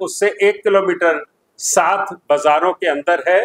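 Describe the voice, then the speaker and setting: His pitch shows ordinary variation. The sound is dry and close with no echo, and the speaker is a man. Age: 60s. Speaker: community religious leader. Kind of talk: press conference. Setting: press conference.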